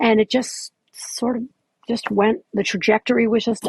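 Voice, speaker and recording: A woman speaks at a fairly slow pace. Her fairly high voice is somewhat breathy. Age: 60s. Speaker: fitness instructor and author. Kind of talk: casual chat interview. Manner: halting, with fillers.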